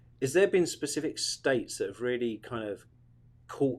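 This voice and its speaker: A man with a British accent at a medium pitch and moderate pace, lively in intonation, on a very clean recording with a silent background. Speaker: radio host, marketing specialist. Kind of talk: radio interview.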